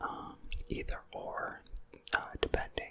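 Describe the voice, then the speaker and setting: A man whispers. Background noise is noticeable. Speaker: ASMR creator. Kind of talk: ASMR whisper ramble. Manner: whispered; soft-spoken, calm.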